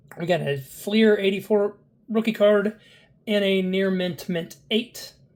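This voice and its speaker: A voice with an American accent comes through over noticeable background noise. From US Midwest, Evansville, Indiana. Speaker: sports card collector and video host. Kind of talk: casual card-reveal commentary. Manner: relaxed, with frequent filler words.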